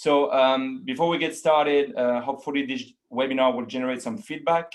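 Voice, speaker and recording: With a French accent, the speaker talks at a fairly quick pace with ordinary pitch variation. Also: man, fairly high pitch for a man. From France (Paris). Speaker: account manager. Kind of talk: webinar presentation. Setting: online webinar. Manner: hesitant, many fillers.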